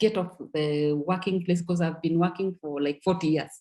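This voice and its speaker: The woman's somewhat breathy voice sits at a fairly low pitch and moves at a fairly quick pace. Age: 60s. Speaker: network marketing distributor. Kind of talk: testimony. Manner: halting, with repeated words.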